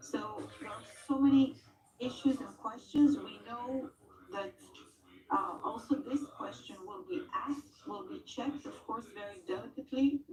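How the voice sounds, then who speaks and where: A woman with an Israeli accent speaks at a high pitch and a fairly slow pace. Her intonation is lively, and her loudness swings widely. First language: Hebrew. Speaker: trauma center representative. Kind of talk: TV news interview.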